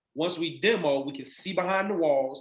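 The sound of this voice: A man with a fairly high pitch and a fairly bright tone talks at a fairly quick pace with ordinary pitch variation, and there is audible room echo.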